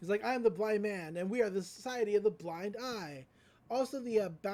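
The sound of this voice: Here the speaker has an unforced reading voice.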